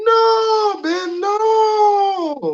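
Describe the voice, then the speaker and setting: The speaker uses a put-on character voice at an extremely high pitch. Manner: scolding, insistent.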